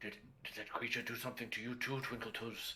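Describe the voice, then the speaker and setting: A put-on character voice at a very fast pace, with clear background noise. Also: man, medium pitch for a man. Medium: actual play.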